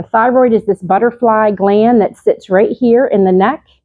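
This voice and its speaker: This woman has a plain, everyday voice, fairly high in pitch with ordinary pitch variation. She talks at a moderate pace. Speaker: nurse practitioner giving a health talk. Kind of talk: lecture.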